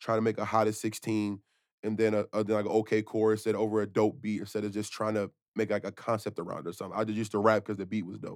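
A man with a fairly low pitch at a very fast pace in a flat monotone, dry and close with no echo, on a very clean recording with a silent background. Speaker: podcast host and rapper. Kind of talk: casual chat. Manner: casual, chatty.

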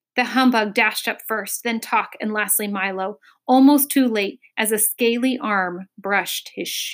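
The speaker reads aloud in a natural voice, and the background is quiet.

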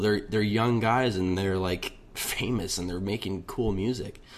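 A man's normal speaking voice at a fairly low pitch, with fairly even intonation, a moderate pace and hardly any pauses. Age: 20s. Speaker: musician. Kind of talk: recorded personal testimony.

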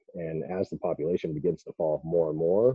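A man with an American accent, very deep and low in pitch, at a fairly quick pace. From Idaho. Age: 30s. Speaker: hunter and business owner. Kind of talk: casual interview.

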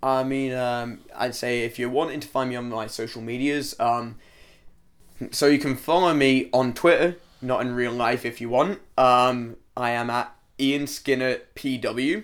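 On a very clean recording with a silent background, a man with a Scottish accent talks fairly slowly at medium pitch with fairly even intonation. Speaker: trainee pro wrestler. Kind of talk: casual interview.

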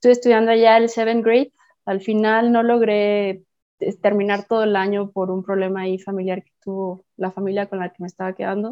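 Her loudness swings widely as a woman of medium pitch talks at a fairly quick pace in a monotone, flat intonation. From Mexico, Puerto Vallarta. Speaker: multi-sport athlete. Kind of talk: casual interview.

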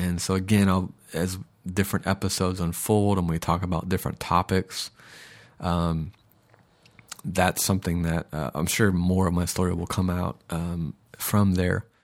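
A man's very deep, low voice with an American accent, monotone and flat, at a moderate pace with long, frequent pauses. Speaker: podcast host. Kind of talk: casual monologue. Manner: hesitant, many fillers.

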